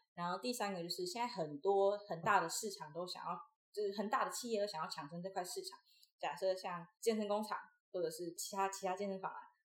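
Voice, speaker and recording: Here a woman speaks at a fairly quick pace and medium pitch. Hers is an unremarkable speaking voice with ordinary pitch variation. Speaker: university student and former acrobatic performer. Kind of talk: interview conversation.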